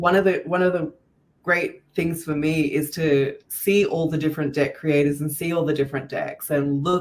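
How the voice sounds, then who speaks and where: A woman speaks at a moderate pace with an Australian accent. Her pitch is very deep and low, and her intonation is monotone and flat. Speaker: podcast host, tarot deck creator. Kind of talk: casual podcast interview.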